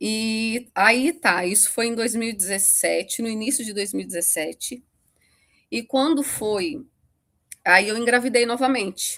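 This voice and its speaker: A woman speaks at a fairly slow pace in a bright, sharp tone. The recording is very clean, with a silent background. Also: ordinary pitch variation. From Brazil, Rio de Janeiro state. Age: 40s. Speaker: podcast guest. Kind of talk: interview testimony. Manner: halting.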